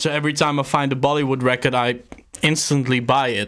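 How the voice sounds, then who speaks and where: A man with a Dutch accent, medium pitch, fairly quick pace and monotone, flat intonation. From Netherlands. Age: 30s. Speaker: beatmaker and label founder. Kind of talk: casual chat.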